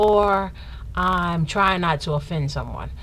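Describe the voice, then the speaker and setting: Audible room echo surrounds this woman's voice. Her pitch is medium, and vocal fry comes through. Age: 30s. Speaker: vlogger. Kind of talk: casual Q&A vlog.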